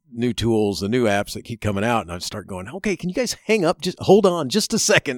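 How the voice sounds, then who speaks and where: In a very clean recording with a silent background and a dry, close sound with no echo, a man with an American accent speaks at a fairly quick pace. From Chicago and Florida. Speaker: educator and podcast host. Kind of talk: interview. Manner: halting, many fillers; laughs often.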